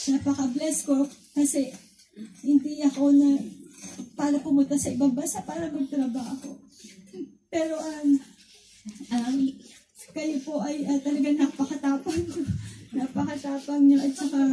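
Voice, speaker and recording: A woman with a high-pitched yet dark, mellow tone speaks at a moderate pace with fairly even intonation and long, frequent pauses. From Philippines, Cavite. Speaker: church visitor giving testimony. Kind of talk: testimony. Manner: halting.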